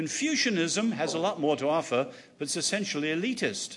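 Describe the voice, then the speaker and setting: Talking at a fairly quick pace with lively intonation, a man with an English accent is heard with audible room echo. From England. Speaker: author and speaker. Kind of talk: lecture. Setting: stage with audience.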